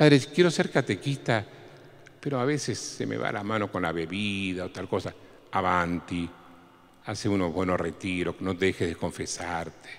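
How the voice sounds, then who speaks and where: In an Argentine accent, a man with a very deep, low voice speaks at a moderate pace with lively intonation. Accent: Argentine Spanish (Rioplatense). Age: 60s. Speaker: priest. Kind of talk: talk to catechists.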